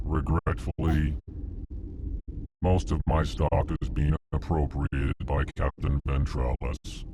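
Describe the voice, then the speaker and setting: A man talks with a very deep, low pitch at a fairly slow pace, using a put-on character voice. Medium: video game. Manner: prefixes each sentence with its emotion, flat and formal.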